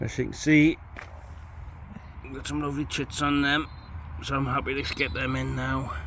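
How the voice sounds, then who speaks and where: A man talks at a moderate pace with long, frequent pauses, and the recording has audible room echo and noticeable background noise. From northern England, Newcastle area. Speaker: allotment vlogger. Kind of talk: casual chat.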